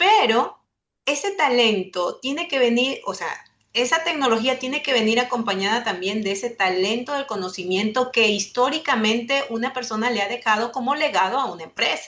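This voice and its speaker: This woman's voice sits high in pitch, and she speaks at a moderate pace. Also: lively intonation. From Ecuador. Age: 40s. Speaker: webinar panelist, communications lecturer. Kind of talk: webinar presentation.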